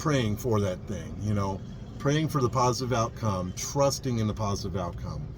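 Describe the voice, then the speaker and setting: Spoken at a moderate pace with lively intonation, the clip has audible room echo and noticeable background noise. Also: man. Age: 50s. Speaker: vlogger, vintage RV traveler. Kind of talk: casual vlog monologue. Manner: relaxed, reflective.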